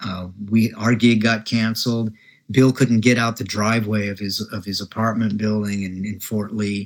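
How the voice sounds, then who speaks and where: Over a very clean recording with a silent background, a man with a Midwestern US accent speaks at a moderate pace with a fairly low pitch and a monotone, flat intonation. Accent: General American (Midwestern). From Nebraska, US Midwest. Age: 60s. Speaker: jazz bassist. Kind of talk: interview conversation. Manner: hesitant, many fillers.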